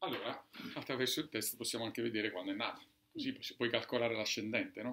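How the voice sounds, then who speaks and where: A man talks at a very fast pace with ordinary pitch variation. Light background noise is audible. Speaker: doctor; presenter. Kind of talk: lecture with live demonstration; lecture. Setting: bookshop talk with audience. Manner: halting. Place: shop. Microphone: camera far.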